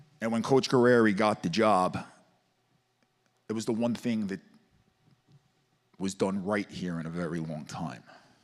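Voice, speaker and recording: In a Staten Island accent, a man with a fairly low pitch talks at a moderate pace with long, frequent pauses on a very clean recording with a silent background. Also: ordinary pitch variation. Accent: Staten Island New York. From Staten Island, New York City. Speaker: teacher and football coach speaking at public comment. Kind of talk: public comment testimony. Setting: school board meeting with audience. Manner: halting, emotional.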